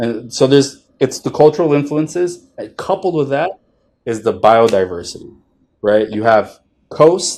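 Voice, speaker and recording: A man with a fairly high pitch talks at a moderate pace with lively intonation. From northern New Jersey, US. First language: Spanish and Italian. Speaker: chef. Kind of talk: casual interview chat.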